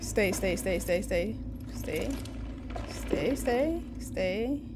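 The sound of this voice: Clear background noise sits behind a woman speaking at a very slow pace. Her voice has medium pitch and lively intonation.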